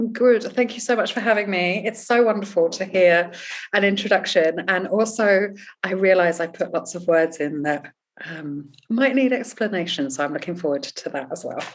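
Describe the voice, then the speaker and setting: In a strong English accent, a woman of medium pitch speaks at a moderate pace with lively intonation. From England. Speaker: life coach and author. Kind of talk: interview. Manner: expressive.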